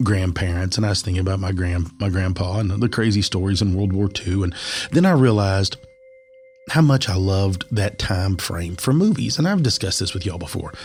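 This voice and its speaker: With ordinary pitch variation, a man speaks at a fairly quick pace in a very deep, low voice. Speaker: podcast host. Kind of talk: casual chat. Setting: stripped-down home studio.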